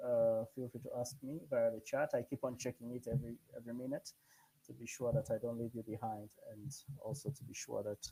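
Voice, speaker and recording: This speaker talks at a fairly quick pace with a non-native accent. The voice is somewhat breathy. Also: man. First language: not English. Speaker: programming instructor. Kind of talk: live coding tutorial. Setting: online live session. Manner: halting, many fillers.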